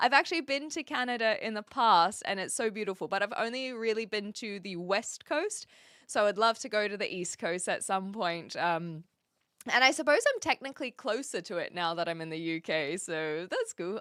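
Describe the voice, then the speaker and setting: A woman speaks at a moderate pace in a bright, sharp, animated tone with very wide pitch swings, the sound dry and close with no echo, in a very clean recording with a silent background. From New Zealand. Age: 20s. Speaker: streamer. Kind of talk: casual chat. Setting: live stream.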